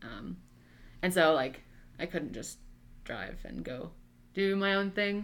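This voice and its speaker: This woman speaks with a Midwestern American accent. Vocal fry runs through her voice. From US Midwest, Nebraska. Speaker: college student. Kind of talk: casual chat.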